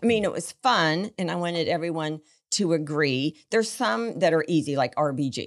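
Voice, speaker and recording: With a normal speaking voice and an American accent, a woman talks at a moderate pace in a fairly low pitch with lively intonation. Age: 60s. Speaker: business founder. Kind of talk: casual chat.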